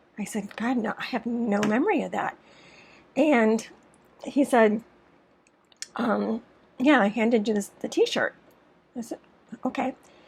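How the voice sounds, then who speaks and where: The intonation is fairly even, with long, frequent pauses. Noticeable background noise sits behind the voice. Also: woman, fairly high pitch for a woman, fairly slow pace. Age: 60s. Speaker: storyteller. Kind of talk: storytime monologue.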